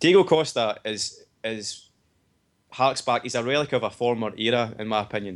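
This man has a Scottish accent. His pitch sits in the medium range. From Scotland. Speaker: podcast co-host.

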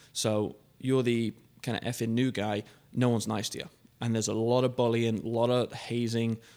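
A man speaks fairly quickly at medium pitch with fairly even intonation. The recording is very clean, with a silent background. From England. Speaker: car dealership general manager. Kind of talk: casual interview. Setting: studio.

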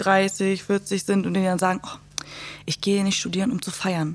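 A plain, everyday voice, moderate in pace with fairly even intonation, on a very clean recording with a silent background. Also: woman. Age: 20s. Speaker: social work student. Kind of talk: casual chat.

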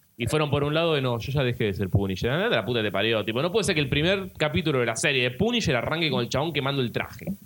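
A man with a Rioplatense accent and a fairly high pitch speaks at a very fast pace with hardly any pauses and lively intonation. Noticeable background noise runs underneath. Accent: Argentine Rioplatense Spanish. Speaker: podcast co-host. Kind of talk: casual chat.

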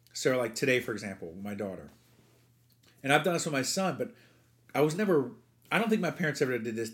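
Speaking at a very fast pace yet with long, frequent pauses, a man with an American accent and medium pitch makes very wide pitch swings. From New Jersey. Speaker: baseball coach. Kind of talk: casual chat.

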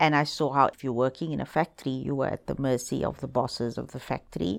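A woman speaks with a very deep, low pitch. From South Africa, Cape Town townships. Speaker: human rights lawyer and foundation director. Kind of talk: interview. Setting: office.

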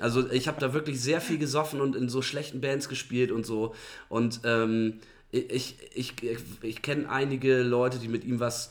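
Ordinary pitch variation and medium pitch in a man's voice, an ordinary speaking voice. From northern Germany, Bremen. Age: 30s. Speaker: musician. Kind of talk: casual chat.

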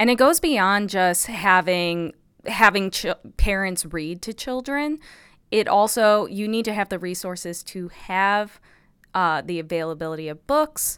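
A woman with a Midwestern American accent, lively in intonation and fairly slow in pace, on a very clean recording with a silent background. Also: medium pitch for a woman, big swings in loudness. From US Midwest, Illinois. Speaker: psychology professor. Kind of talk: interview.

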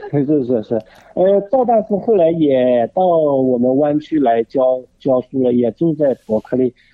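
A man with a fairly high pitch, lively intonation, very even loudness and a fairly slow pace. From China, Jinhua, Zhejiang. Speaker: art museum director. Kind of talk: radio interview. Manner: hesitant, many fillers.

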